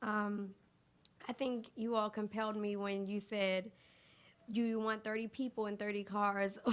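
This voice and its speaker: At a moderate pace, a woman speaks in a fairly high, monotone voice with flat intonation. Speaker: debate judge. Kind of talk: spoken feedback to students.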